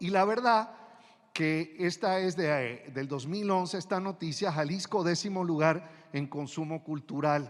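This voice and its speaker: A man speaks at a fairly slow pace. His pitch is high, with ordinary pitch variation. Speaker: museum director and ecologist. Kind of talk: formal presentation. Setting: auditorium before university council. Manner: hesitant, many fillers.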